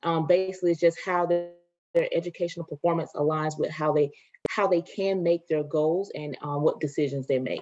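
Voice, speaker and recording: This woman has a fairly low pitch and a slight Southern US accent. She speaks at a fairly quick pace with fairly even intonation while music plays in the background. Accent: rural Southern (country), slight. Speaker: education consultant. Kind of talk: webinar presentation. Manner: fast.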